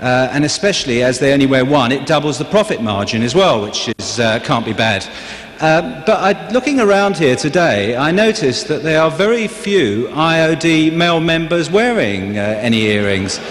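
His pitch swings very wide. The man keeps to a moderate speed. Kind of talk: convention speech. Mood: joking then serious. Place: hall. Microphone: podium.

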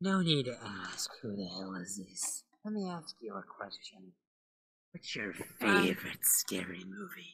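A man speaks at a medium pitch, with very wide pitch swings and long, frequent pauses. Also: moderate pace. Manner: taunting, menacing, mocking.

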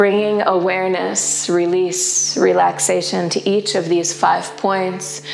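Over light background noise, a woman talks at a very slow pace with hardly any pauses. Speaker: yoga teacher. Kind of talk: guided yoga instruction. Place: home room.

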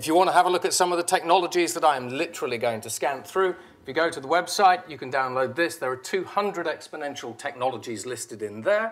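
A man talking very fast in a fairly high voice, with lively intonation, big swings in loudness, hardly any pauses and a quiet background. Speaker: futurologist; presenter. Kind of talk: presentation. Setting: stage with audience. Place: hall.

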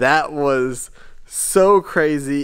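The background stays quiet. The man's voice has ordinary pitch variation. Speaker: shop owner vlogger. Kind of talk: casual vlog storytelling. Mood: upbeat, reflective. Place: workshop. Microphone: phone near.

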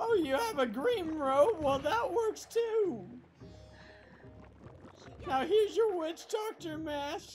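An extremely high-pitched put-on character voice at a very slow pace, with long, frequent pauses over clear background music.

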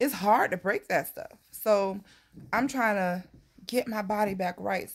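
Over a quiet background, a woman talks at a fairly slow pace. Her pitch variation is ordinary. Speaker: vlogger. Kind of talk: casual vlog chat. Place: home room. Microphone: phone near.

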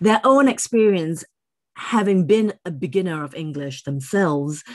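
In a quiet background, a woman speaks at a moderate pace with lively intonation. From Singapore. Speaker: English teacher and ELT writer. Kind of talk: speaker introduction. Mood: animated, personal storytelling. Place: office.

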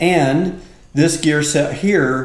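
Audible room echo colors the voice of a man speaking with fairly even intonation. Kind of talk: tutorial. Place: garage. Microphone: camera far.

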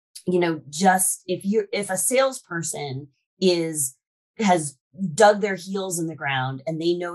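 Against a quiet background, a woman with a fairly low pitch talks at a fairly slow pace with ordinary pitch variation. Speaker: podcast guest, sales expert. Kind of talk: interview answer. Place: home room. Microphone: video call.

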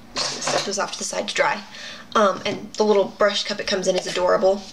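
Against noticeable background noise, a woman talks at a medium pitch in a monotone, flat intonation. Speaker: beauty vlogger. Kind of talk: casual chat. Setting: home video recording. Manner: low energy.

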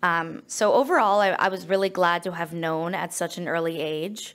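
A woman's fairly low voice with an American accent and ordinary pitch variation. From United States. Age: 20s. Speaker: nonprofit founder. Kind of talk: conference presentation. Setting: stage with audience. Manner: fast talker. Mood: personal, earnest storytelling. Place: meeting room. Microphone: podium.

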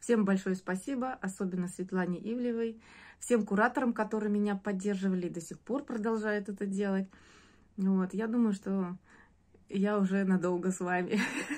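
A woman at a moderate pace, fairly even intonation, long and frequent pauses. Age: 40s. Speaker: course student giving a testimonial. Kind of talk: testimonial; casual testimonial talk. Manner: hesitant, with filler sounds. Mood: warm, grateful. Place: home room. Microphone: phone near.

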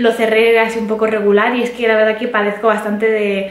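A woman talks at a fairly quick pace with a medium pitch and little pitch movement. Audible room echo surrounds her voice.

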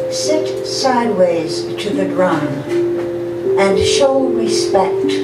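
A woman talks at a very slow pace over loud background noise. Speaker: poet. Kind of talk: poetry reading. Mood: solemn, measured. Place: cafe. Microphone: camera far.

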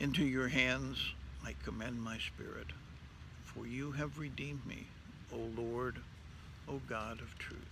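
Fairly slow male speech with vocal fry, dry with no echo, against noticeable background noise. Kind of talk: liturgical reading. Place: garden. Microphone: phone near.

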